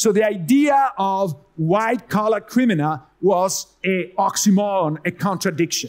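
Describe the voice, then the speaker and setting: Against a quiet background, a man speaks with an Italian accent at a high pitch and a fairly slow pace, with ordinary pitch variation, very even loudness and hardly any pauses. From Italy. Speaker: economics professor. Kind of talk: conference talk. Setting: stage with audience. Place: hall. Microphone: headset.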